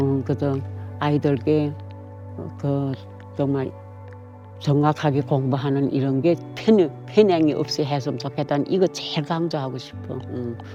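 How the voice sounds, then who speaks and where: With music in the background, a woman with a very deep, low pitch and lively intonation speaks at a fairly slow pace with long, frequent pauses. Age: 80s+. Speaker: North Korean defector interviewee. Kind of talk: interview testimony. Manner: halting.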